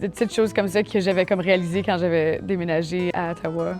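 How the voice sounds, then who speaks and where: Music plays in the background as a woman talks at a fairly quick pace. Her voice sits at a medium pitch with fairly even intonation. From Manitoba, Canada. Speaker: singer, alternative pop artist. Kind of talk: interview answer.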